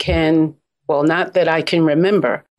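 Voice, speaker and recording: This is an ordinary speaking voice with ordinary pitch variation, delivered at a moderate pace. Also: woman. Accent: American. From Brooklyn, New York. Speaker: gift basket business expert and author. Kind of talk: interview.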